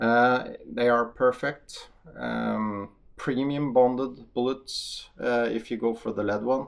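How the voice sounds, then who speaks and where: Speaking with a Norwegian accent, a man talks at a very slow pace and medium pitch, with fairly even intonation. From Norway. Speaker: hunter and ammunition tester. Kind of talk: casual video talk to camera. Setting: outdoor shooting range. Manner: hesitant, many fillers.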